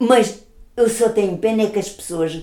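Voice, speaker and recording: A woman speaks fairly slowly in a dark, mellow tone with lively intonation. Audible room echo surrounds her voice. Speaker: grandmother. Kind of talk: casual chat.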